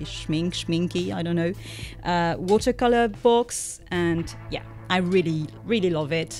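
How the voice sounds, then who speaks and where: With music in the background, the speaker talks at a fairly slow pace in a French accent. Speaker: artist. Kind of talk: casual talk to camera. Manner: hesitant, many fillers.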